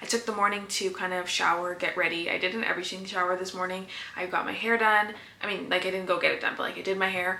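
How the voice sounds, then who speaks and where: There is noticeable background noise and audible room echo. A woman of medium pitch speaks at a very fast pace. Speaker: small business owner and vlogger. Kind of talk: vlog monologue. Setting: home office.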